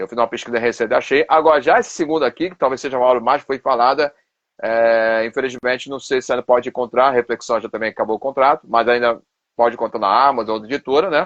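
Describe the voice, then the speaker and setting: Very fast, a man talks in a Carioca accent, his medium pitch held in fairly even intonation. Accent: Carioca accent, noticeable. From Rio de Janeiro, Brazil. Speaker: pastor and theology professor. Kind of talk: live stream interview. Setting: Instagram live video.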